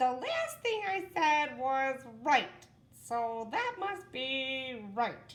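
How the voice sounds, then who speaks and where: A woman's high, put-on character voice at a very slow pace. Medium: read story. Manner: eager, bewildered.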